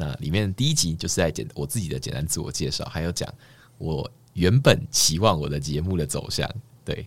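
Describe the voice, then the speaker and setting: At a fairly quick pace, a man talks with a very deep, low pitch, vocal fry and lively intonation. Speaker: doctoral student and presentation competition winner. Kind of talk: casual interview chat. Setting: recording studio.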